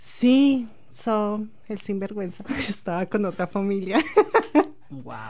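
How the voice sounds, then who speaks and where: A woman speaks at a very slow pace in a dark, mellow, somewhat breathy tone, her loudness swinging widely between long, frequent pauses. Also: medium pitch for a woman, ordinary pitch variation. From Colombia, Bogotá. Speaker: immigrant sharing life story. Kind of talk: interview.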